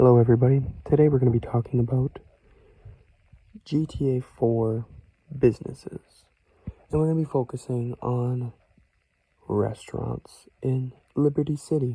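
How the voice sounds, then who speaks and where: Soft-spoken, the speaker keeps a moderate pace broken by long, frequent pauses. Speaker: ASMR creator. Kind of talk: casual ASMR talk to viewers.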